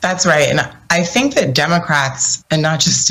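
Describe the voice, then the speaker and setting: There is noticeable background noise. A woman speaks with fairly even intonation. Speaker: political commentator. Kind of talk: panel discussion.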